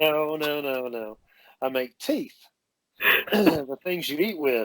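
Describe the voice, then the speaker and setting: A man with a slight Southern US accent speaks in a fairly high pitch with ordinary pitch variation, the sound dry and close with no echo. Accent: slight Southern drawl. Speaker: dental technician. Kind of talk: podcast interview. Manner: animated, halting with many fillers.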